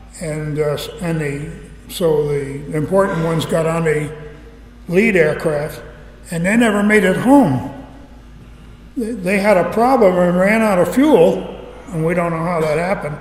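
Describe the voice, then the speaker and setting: Noticeable background noise sits behind a man with an American accent. He speaks fairly slowly at a high pitch, with ordinary pitch variation. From Connecticut, now North Carolina. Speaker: retired B-25 pilot and military veteran giving a museum talk. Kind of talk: live public talk to an audience, storytelling. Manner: conversational, humorous, with frequent hesitations.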